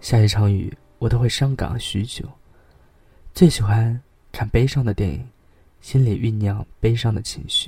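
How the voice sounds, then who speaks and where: A man talks at a fairly slow pace, with long, frequent pauses. His tone is dark and mellow and somewhat breathy. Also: medium pitch for a man, ordinary pitch variation. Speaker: podcast host reading essays. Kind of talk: reading aloud; casual monologue.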